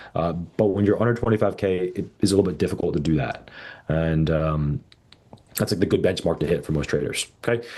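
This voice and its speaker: The voice has a dark, mellow tone, ordinary pitch variation and a fairly quick pace. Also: man, very deep, low pitch for a man. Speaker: trading educator. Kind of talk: live stream session. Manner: loud; casual, filler-heavy.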